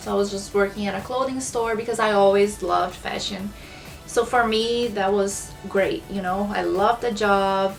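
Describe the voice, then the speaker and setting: A woman speaks at a medium pitch with a Brazilian accent and fairly even intonation. Music plays in the background. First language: Portuguese. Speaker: small business owner, planner shop. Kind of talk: casual talk to camera. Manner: slow.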